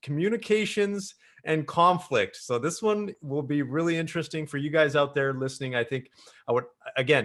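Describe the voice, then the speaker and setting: Using an ordinary speaking voice, a man with a Canadian accent talks at a moderate pace, pitched fairly high with lively intonation. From Canada, Greater Toronto area. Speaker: podcast host and business coach. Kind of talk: podcast interview. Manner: casual.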